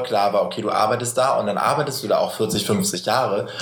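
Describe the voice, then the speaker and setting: Very fast speech from a man, with audible room echo and noticeable background noise. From northern Germany. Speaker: podcast host. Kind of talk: casual chat.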